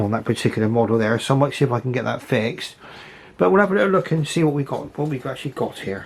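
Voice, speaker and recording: A man's fairly high voice with an English accent, lively intonation and a very fast pace. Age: 60s. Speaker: model railway hobbyist. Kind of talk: casual video commentary. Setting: home model railway. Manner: halting.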